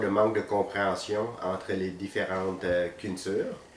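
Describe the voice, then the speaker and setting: This man's voice sits fairly low, and he speaks at a fairly slow pace with monotone, flat intonation. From Vietnam, moved to Quebec at 14. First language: Vietnamese (speaking French). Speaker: physiotherapist. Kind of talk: interview. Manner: hesitant, many fillers.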